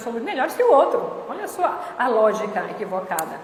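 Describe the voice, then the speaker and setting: Over noticeable background noise and audible room echo, a woman speaks at a high pitch and a moderate pace. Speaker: spiritist lecturer. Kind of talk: lecture.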